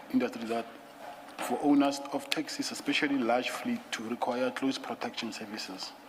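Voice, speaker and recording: A soft-spoken man at a moderate pace, with noticeable background noise. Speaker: witness at commission of inquiry. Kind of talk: testimony. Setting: commission hearing room. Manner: reading statement aloud, halting. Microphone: too quiet, far from the mic.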